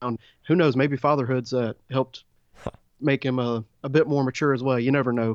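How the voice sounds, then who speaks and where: An ordinary speaking voice with an American accent, fairly even intonation and a moderate pace comes through. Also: man, medium pitch for a man. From Middle Georgia, US. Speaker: baseball podcast co-host. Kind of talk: casual sports discussion.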